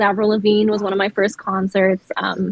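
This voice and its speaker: A woman speaks with a Montreal accent. Her pitch is fairly high. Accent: Canadian English, Montreal. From Montreal, Quebec. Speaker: singer and actor. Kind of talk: casual chat. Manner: animated, hand talker.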